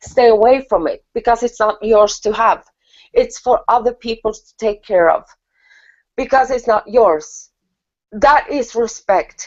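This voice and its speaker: A woman speaks with a non-native accent. Her pitch is high and her pace is moderate. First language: not English. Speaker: spiritual talk show co-host. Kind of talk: casual chat.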